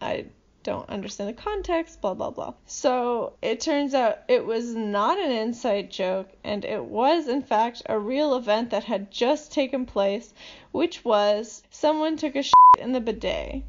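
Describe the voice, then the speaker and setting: High-pitched and lively in intonation, a woman speaks at a fairly slow pace. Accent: American. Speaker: podcast host, language enthusiast. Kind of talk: casual chat.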